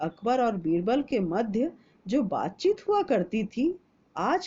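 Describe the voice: A woman's medium-pitched voice, slow and dark and mellow, with a slightly husky edge and big pitch swings.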